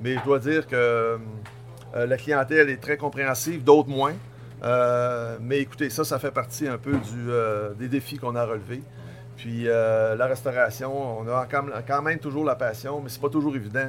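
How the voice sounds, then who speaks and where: Using a plain, everyday voice, a man speaks at a medium pitch and moderate pace with fairly even intonation. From Tadoussac, Côte-Nord, Quebec. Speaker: innkeeper and restaurateur. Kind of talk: casual interview. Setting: restaurant dining room.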